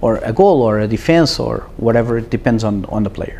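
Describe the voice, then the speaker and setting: A man with a Portuguese accent at a moderate pace, over noticeable background noise. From Portugal. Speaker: startup CEO. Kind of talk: casual interview.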